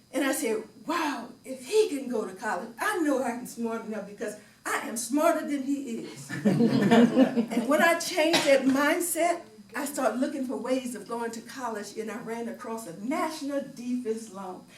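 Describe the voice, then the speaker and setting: Her loudness swings widely as a woman speaks at a high pitch with lively intonation and a moderate pace, over noticeable background noise. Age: 80s+. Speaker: retired educator with doctorate. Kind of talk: speech at public speaking club.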